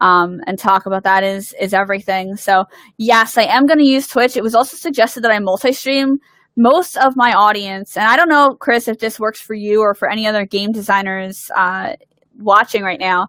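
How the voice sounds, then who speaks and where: A woman's bright, sharp, animated voice in a Philadelphia accent, fairly high in pitch with ordinary variation, in a dry, close sound with no echo. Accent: Philadelphia American. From US Northeast, Philadelphia. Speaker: game designer. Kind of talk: livestream Q&A. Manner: fast.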